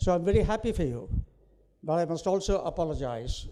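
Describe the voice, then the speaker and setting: Talking at a fairly quick pace, a man with a fairly high pitch uses lively intonation and vocal fry. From India. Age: 70s. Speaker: invited speaker at a university ceremony. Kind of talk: ceremonial speech.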